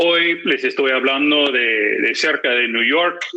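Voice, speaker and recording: A man speaking at a very slow pace. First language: English (speaking Spanish). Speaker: political analyst and magazine editor. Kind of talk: conference presentation. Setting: video call. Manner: frequent filler hesitations.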